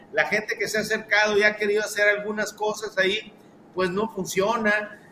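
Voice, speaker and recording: A man raises and projects his high-pitched voice. Noticeable background noise can be heard. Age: 60s. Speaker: historian. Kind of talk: casual chat.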